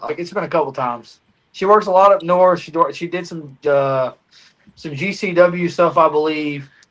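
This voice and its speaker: A man with an American accent talks at a moderate pace, his pitch high with ordinary variation. His loudness swings widely. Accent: country American. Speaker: wrestling podcast co-host. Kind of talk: casual chat.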